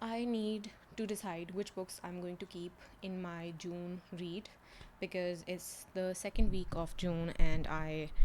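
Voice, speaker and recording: A woman's fairly low-pitched voice at a fairly slow pace. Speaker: book vlogger. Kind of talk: casual vlog monologue. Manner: slow, low volume.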